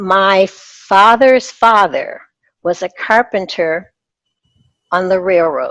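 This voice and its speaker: Very slowly, with long and frequent pauses, a woman talks at a medium pitch. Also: ordinary pitch variation. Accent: American. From Detroit, Michigan, US. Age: 70s. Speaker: retired doctor. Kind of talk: interview.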